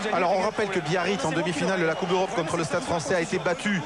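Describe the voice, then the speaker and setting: A man's high-pitched voice with audible room echo and noticeable background noise. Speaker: TV rugby presenter. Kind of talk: live TV broadcast, halftime studio. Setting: pitch-side TV set in stadium, noisy. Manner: loud, speaking up over noise.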